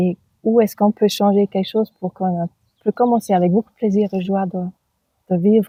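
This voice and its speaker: Somewhat breathy woman's voice at a medium pitch, in a German accent, with fairly even intonation. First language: German (speaking French). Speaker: author and birth companion. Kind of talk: interview. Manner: halting.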